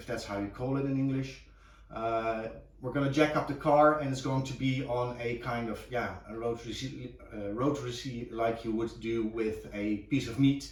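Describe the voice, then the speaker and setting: A man speaks at a moderate pace in a somewhat breathy voice. Audible room echo surrounds him. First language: Dutch. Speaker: car restoration hobbyist. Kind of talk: tutorial. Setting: home garage. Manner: halting, many fillers.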